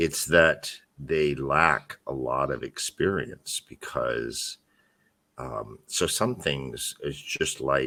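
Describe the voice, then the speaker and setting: Very deep and low in pitch, a man speaks with an American accent, a bright, sharp tone and vocal fry. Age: 60s. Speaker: podcast host, blogger. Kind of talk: casual chat. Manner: halting, repetitive.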